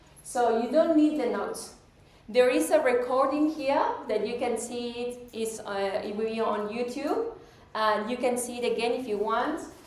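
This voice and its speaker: A woman with an Argentine accent speaks at a high pitch and a moderate pace, with ordinary pitch variation. Audible room echo and noticeable background noise surround her voice. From Argentina, Pigue, Buenos Aires province. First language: Spanish. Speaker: metaphysics teacher and speaker. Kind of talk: public talk. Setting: hall with live audience.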